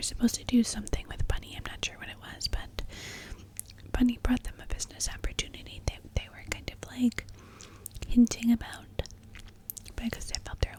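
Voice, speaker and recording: Over noticeable background noise, a woman whispers. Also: moderate pace. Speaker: ASMR content creator. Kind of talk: ASMR whisper ramble about influencer gossip. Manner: soft-spoken, whispering, conversational.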